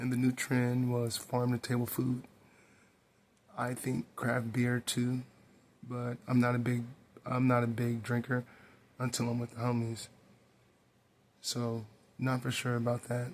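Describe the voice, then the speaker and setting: Quiet and monotone, a man speaks at a fairly slow pace with flat intonation and long, frequent pauses. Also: medium pitch for a man. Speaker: hip-hop commentary youtuber. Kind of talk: casual commentary monologue. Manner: quiet, hushed.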